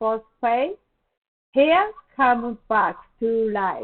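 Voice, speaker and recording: Very slowly and with a non-native accent, a woman speaks in a high pitch with ordinary pitch variation. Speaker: beauty salon owner and skincare promoter. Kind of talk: product presentation to camera.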